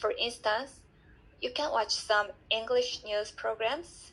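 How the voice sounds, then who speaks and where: Here a woman speaks with a Korean accent. Her pace is very slow. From South Korea. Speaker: language student. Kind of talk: reading aloud.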